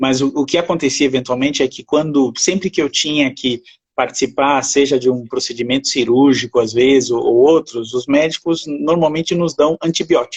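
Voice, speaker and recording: Fairly even intonation in a man's fairly high voice. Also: moderate pace. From France. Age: 50s. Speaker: essential oils user, interview guest. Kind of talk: casual interview chat. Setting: online live stream. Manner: halting, repeats words.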